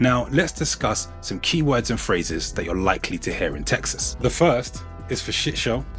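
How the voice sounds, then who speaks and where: A man with a London accent at a moderate pace, with music in the background. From London, England. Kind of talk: educational accent breakdown narration.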